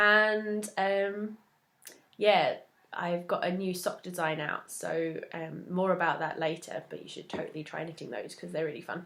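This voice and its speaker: A woman with an English accent speaks at a fairly slow pace and medium pitch, with fairly even intonation and big swings in loudness. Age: 20s. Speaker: knitting podcaster. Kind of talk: casual chat.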